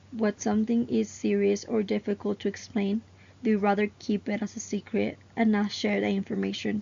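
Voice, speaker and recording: A woman speaks at a moderate pace with a strong Mexican accent. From Mexico. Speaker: student. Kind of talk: class presentation. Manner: some halting and self-repairs.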